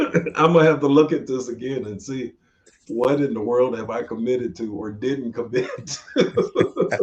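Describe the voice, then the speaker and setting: This man speaks at a medium pitch and moderate pace, with ordinary pitch variation and big swings in loudness. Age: 60s. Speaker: podcast host in addiction recovery. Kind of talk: casual interview conversation. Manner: halting, repeats words.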